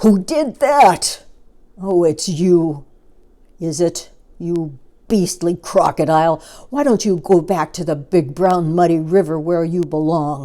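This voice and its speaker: A fairly slow, put-on character voice at a middle pitch. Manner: indignant, scolding.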